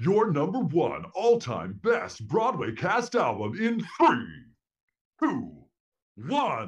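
A man's put-on character voice, high in pitch, at a very slow pace with long, frequent pauses. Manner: over-the-top, excited, theatrical.

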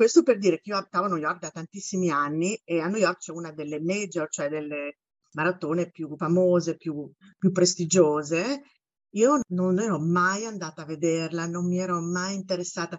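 A woman with a fairly low pitch speaks at a moderate pace in a plain, everyday voice. Her pitch varies in an ordinary way while her loudness swings widely. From Italy, Bologna. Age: 50s. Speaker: university teacher and amateur runner. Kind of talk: casual interview.

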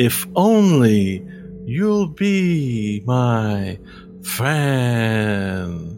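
Clear background noise sits under a put-on character voice. The delivery is very slow. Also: man. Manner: smooth, persuasive, falsely friendly.

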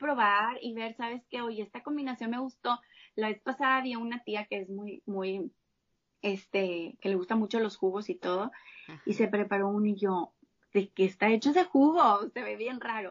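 This is a plain, everyday voice, a woman's, pitched fairly high. She goes at a moderate pace with ordinary pitch variation and big swings in loudness. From Mexico, Monterrey. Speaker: health coach and plant-based chef. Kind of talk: interview conversation.

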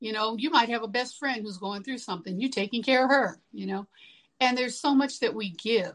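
A woman's fairly high voice with a slight country accent, fairly quick, with ordinary pitch variation. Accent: slight country twang. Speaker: singer-songwriter. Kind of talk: interview. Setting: remote call.

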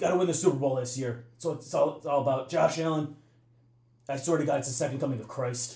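With an American accent, a man speaks at a fairly quick pace in a fairly high pitch, his somewhat breathy voice dark and mellow in tone with fairly even intonation, amid audible room echo. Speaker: sports superfan. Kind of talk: casual chat. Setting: bar.

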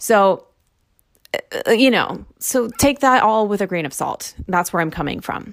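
Fairly slow speech with lively intonation and an animated tone. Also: woman, fairly high pitch for a woman. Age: 30s. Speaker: grad student podcaster. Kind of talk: casual solo monologue.

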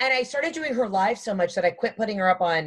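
Her voice is fairly high and somewhat breathy as the woman speaks. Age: 30s. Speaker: comedian. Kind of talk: casual chat.

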